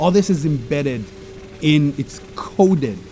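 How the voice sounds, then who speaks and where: Amid noticeable background noise, a man with a fairly high pitch speaks at a fairly slow pace with lively intonation. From Israel, Jerusalem. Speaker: sound artist. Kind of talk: casual interview. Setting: outdoors on a terrace. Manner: halting, many fillers.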